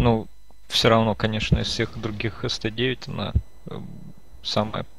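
A man is speaking. His pace is very slow. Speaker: gaming streamer. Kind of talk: casual gameplay chat.

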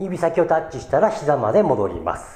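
Audible room echo follows a man who talks at a moderate pace. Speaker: fitness trainer. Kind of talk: tutorial. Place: gym. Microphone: camera far.

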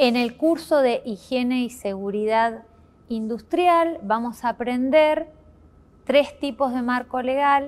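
Her voice high, a woman speaks at a very slow pace. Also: ordinary pitch variation. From Argentina, Chubut province. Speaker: course instructor. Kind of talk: course presentation video. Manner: formal. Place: classroom.

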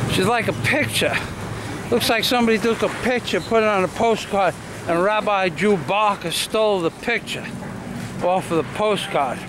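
Over noticeable background noise, a man with a high pitch talks at a moderate pace with ordinary pitch variation, the sound dry with no echo. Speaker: vlogger narrator. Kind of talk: casual vlog talk to camera. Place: street. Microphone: phone near.

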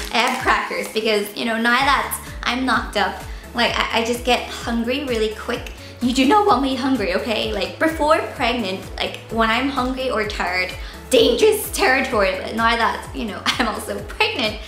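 Faint music plays in the background as a woman speaks at a moderate pace with audible room echo. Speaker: beauty vlogger. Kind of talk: casual vlog chat. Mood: playful and cheerful. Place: home room. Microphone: camera far.

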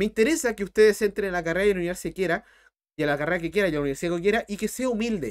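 The tone is animated. The speaker has a Chilean accent. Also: man. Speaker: math teacher. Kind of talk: live-streamed math tutorial. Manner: fast. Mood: earnest motivational talk. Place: home room.

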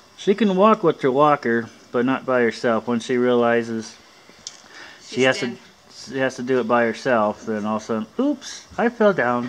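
A man speaks at a medium pitch. Noticeable background noise runs beneath his voice. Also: ordinary pitch variation, moderate pace. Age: 30s. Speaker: vlogger. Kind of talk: casual vlog. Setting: in a car.

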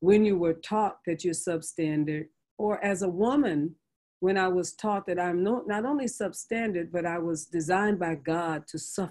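In an American accent, a woman with a fairly low pitch uses an ordinary speaking voice at a moderate pace, with ordinary pitch variation. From US West Coast (San Francisco). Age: 60s. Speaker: bishop and pastor. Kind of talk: interview conversation.

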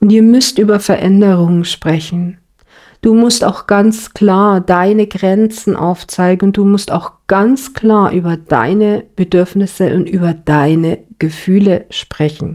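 A woman talks very slowly at a medium pitch in a dark, mellow tone. Her loudness stays very even, and her pitch varies in an ordinary way. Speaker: tarot card reader. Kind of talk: tarot reading monologue. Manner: casual, with many fillers.

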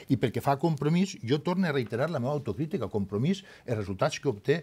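With a Valencian accent, a man speaks in a dark, mellow, somewhat breathy tone. His pitch swings very widely. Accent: Valencian Catalan. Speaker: politician. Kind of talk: heated debate. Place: studio. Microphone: lapel.

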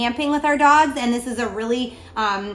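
A woman at a high pitch, with ordinary pitch variation. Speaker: pet product reviewer. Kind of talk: product review talk. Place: home room. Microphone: camera far.

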